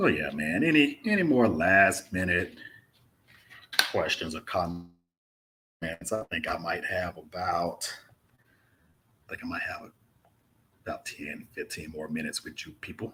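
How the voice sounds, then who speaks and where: The man talks with an American accent at a fairly slow pace. His loudness swings widely, broken by long, frequent pauses. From Mississippi, US South. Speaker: travel vlogger. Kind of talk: live stream Q&A chat. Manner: casual, laid-back.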